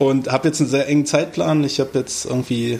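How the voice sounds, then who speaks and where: This man has an ordinary speaking voice, fairly high in pitch. He talks at a fairly quick pace with fairly even intonation. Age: 30s. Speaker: podcast co-host, carpentry apprentice. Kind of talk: casual chat.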